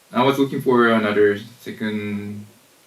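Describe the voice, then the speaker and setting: A man's fairly low voice with an American accent, fairly even intonation and a moderate pace, over noticeable background noise. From United States. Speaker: tour company founder. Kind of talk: radio interview. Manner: halting.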